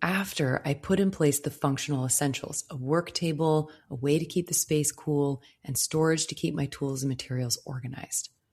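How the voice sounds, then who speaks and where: A woman's very deep, low voice, calm and soothing in tone, at a moderate pace. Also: very clean recording, silent background. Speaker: podcast host, floral designer. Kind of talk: solo podcast monologue. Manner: calm, soothing.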